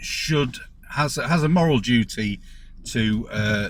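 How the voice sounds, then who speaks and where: A man with a medium pitch speaks in a Lincolnshire accent. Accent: local Grimsby. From northern England, Grimsby, Lincolnshire. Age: middle-aged. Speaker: taxi driver. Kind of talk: monologue to camera. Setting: in a car. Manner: halting, with many fillers and repeats.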